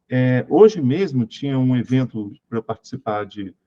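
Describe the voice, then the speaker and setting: A dark, mellow voice at a moderate pace, with ordinary pitch variation and a dry, close sound free of echo. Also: man. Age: 50s. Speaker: spiritual teacher. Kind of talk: lecture. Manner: animated.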